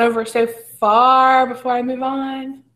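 A woman with a North Carolina accent, high-pitched, with a bright, sharp tone and flat, monotone intonation. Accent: US South (North Carolina). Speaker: teacher leading staff training. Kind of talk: professional development presentation. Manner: fast. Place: home room.

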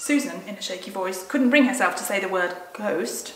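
Heard here is a natural reading voice.

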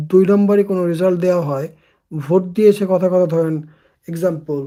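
A man's voice is high in pitch yet dark and mellow in tone. His intonation stays fairly even. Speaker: political commentator. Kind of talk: political monologue. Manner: halting.

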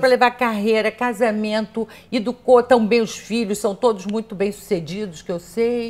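Fairly high in pitch, a woman speaks at a moderate pace with fairly even intonation. She hardly pauses at all. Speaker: interviewer. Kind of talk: interview host. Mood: warm, admiring. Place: home room.

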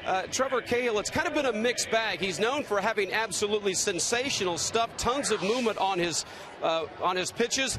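A man with a high pitch and ordinary pitch variation talks at a fairly quick pace, his dry sound with no echo set over light background noise. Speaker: sideline reporter. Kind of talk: broadcast pregame report. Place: stadium. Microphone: handheld.

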